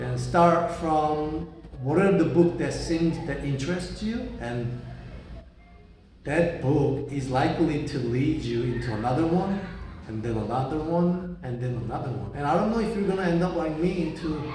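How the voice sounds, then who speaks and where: Speaking with a Korean accent and ordinary pitch variation, a man is heard over noticeable background noise with audible room echo. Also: fairly high pitch for a man, moderate pace. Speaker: vlogger. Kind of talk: casual monologue. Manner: halting.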